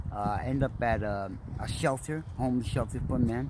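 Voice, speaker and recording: Speaking with an American accent, a man has an ordinary speaking voice of medium pitch, ordinary pitch variation and a fairly quick pace. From Trenton, New Jersey. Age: 60s. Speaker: homeless man. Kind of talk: interview.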